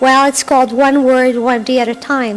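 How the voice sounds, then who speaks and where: With noticeable background noise behind her, a woman talks fairly quickly at a high pitch in a French Canadian accent. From Quebec. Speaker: health and wellness coach. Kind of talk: interview. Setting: live radio broadcast on location at an open house.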